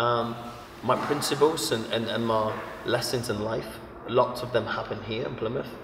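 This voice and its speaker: A man talks at a moderate pace. Background noise is noticeable. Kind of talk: interview answer. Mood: reflective, earnest.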